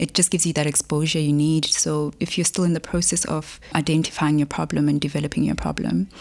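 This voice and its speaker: A woman with a South African accent speaks very fast in a very deep, low voice at a very even loudness. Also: fairly even intonation, hardly any pauses. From South Africa, Polokwane. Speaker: mathematics researcher. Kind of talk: interview.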